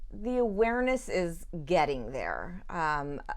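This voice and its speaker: A woman with an American accent talks in a space with audible room echo. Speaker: leadership organization executive. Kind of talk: interview. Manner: loud.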